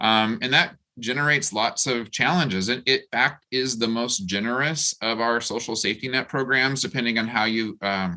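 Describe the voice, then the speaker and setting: A man with an unremarkable speaking voice, medium pitch, ordinary pitch variation and a moderate pace. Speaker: professor and housing researcher. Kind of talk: panel discussion. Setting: video call.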